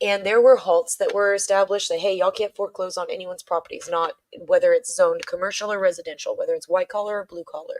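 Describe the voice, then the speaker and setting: A woman talks at a very fast pace with hardly any pauses, her sound dry and close with no echo. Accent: American. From Texas, Dallas. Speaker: political livestreamer. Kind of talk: livestream commentary. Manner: casual, halting with repetitions.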